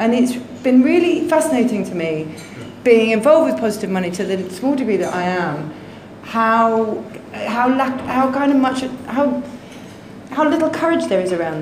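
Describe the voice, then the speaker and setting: In a recording with audible room echo and light background noise, a woman speaks at a fairly high pitch with very wide pitch swings. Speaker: journalist. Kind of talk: panel discussion. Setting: stage with audience. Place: hall.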